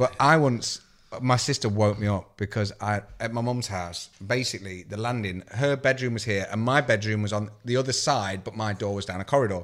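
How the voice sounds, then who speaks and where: A man's fairly low, plain, everyday voice with hardly any pauses and ordinary pitch variation, on a very clean recording with a silent background. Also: moderate pace. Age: 30s. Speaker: MMA podcast co-host. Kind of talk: casual chat.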